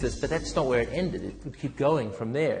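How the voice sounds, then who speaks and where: With music in the background, a man talks at a fairly quick pace in a fairly high pitch, with ordinary pitch variation. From South Africa. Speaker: businessman, co-founder. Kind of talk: interview answer.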